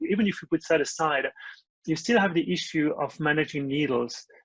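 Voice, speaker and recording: A man with a French accent and a fairly high pitch talks at a fairly quick pace in a dry, close sound with no echo. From France. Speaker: startup founder. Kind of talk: interview. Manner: halting, many fillers.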